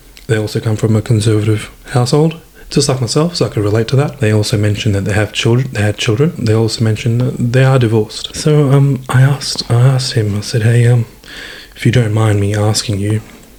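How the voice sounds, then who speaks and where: Talking at a very fast pace, a man with a medium pitch and ordinary pitch variation is heard over noticeable background noise. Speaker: former homophobe sharing his story. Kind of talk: interview testimony. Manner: halting, many repetitions.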